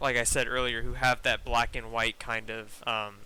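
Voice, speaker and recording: A man with a bright, sharp tone speaks at a moderate pace in a monotone, flat delivery. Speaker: osu! beatmap nominator. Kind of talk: podcast interview. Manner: halting, repeats words.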